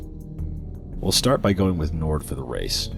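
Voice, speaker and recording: Music plays in the background as a man talks. His pitch is very deep and low, with ordinary pitch variation. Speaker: gaming video narrator. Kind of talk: game guide voiceover.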